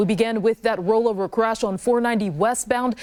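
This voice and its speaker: In an ordinary speaking voice, a woman talks fairly quickly at a fairly high pitch. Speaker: TV news anchor and multimedia journalist. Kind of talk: morning news anchor delivery.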